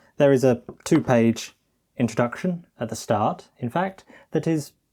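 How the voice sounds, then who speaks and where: Someone with a British accent is heard on a very clean recording with a silent background. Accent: British accent, noticeable. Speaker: film video essayist, collector. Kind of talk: scripted video essay narration. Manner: formal, measured.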